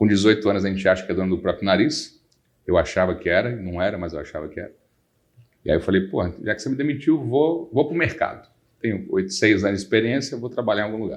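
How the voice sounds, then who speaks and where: Very fast and with lively intonation, a man talks in a fairly low voice. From Brazil, Salvador. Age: 40s. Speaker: lawyer. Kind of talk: podcast interview.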